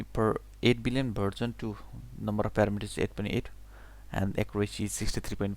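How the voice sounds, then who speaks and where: Speaking fairly quickly, a man talks with a non-native accent. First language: not English. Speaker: English learner. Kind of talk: reading a technical blog aloud. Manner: unrehearsed, halting.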